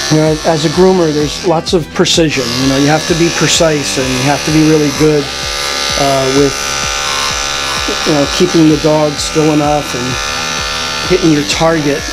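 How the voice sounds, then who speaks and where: Moderate pace with long, frequent pauses over music in the background. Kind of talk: tutorial. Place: shop.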